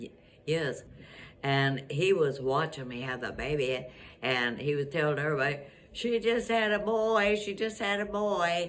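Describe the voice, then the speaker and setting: A woman's very deep, low voice at a moderate pace, with very wide pitch swings and audible room echo. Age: 80s+. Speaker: grandmother. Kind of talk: interview. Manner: halting.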